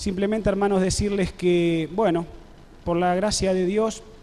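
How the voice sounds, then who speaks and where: A man speaks at a fairly slow pace in a high pitch, his intonation fairly even, with audible echo from the room. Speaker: pastor. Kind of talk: sermon. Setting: church service with congregation, web streamed.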